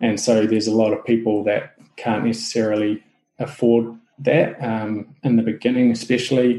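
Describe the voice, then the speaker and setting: With a New Zealand accent, a man speaks at a moderate pace and a medium pitch in a monotone, flat intonation. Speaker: SEO specialist. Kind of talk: interview conversation.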